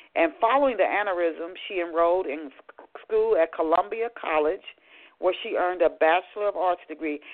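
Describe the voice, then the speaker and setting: A woman in a plain, everyday voice speaks at a moderate pace and a fairly low pitch. Her pitch varies in an ordinary way while her loudness swings widely. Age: 50s. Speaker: radio show host. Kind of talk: radio interview.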